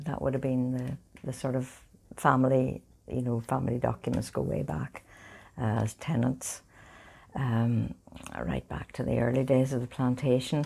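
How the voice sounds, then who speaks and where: A woman with a Northern Irish accent, a very deep, low pitch, a dark, mellow tone and a moderate pace. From Northern Ireland, County Fermanagh. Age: 70s. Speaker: oral history interviewee. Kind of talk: interview, family reminiscence.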